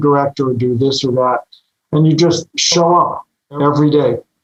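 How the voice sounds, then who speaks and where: This man has an American accent and a fairly high pitch. He keeps a moderate pace. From Los Angeles, California. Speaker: commercial real estate financier. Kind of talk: interview.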